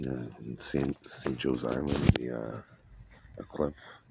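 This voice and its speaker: Very slow speech from a man with a very deep, low pitch and monotone, flat intonation over noticeable background noise. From Canada, Toronto. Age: 40s. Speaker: poker streamer. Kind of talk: casual chat. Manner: halting, many fillers and restarts.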